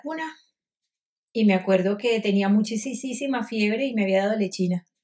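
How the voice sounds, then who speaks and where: With a Venezuelan accent, a woman speaks at a moderate pace in a fairly high voice, her pitch moving in an ordinary way. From Venezuela, Caracas. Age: 50s. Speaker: doctor. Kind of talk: interview, personal story.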